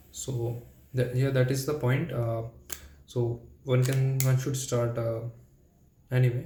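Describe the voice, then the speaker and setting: In a room with audible echo, a man speaks at a moderate pace and medium pitch in a flat monotone, his tone dark, mellow and somewhat breathy. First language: not English. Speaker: language learner vlogger. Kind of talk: solo practice monologue. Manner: halting.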